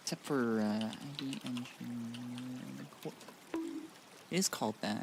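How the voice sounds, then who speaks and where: Music plays behind a man speaking at a fairly slow pace. He leaves long, frequent pauses. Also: medium pitch for a man, ordinary pitch variation. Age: 20s. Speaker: streamer. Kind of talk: gaming livestream chat. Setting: livestream to YouTube and Twitch.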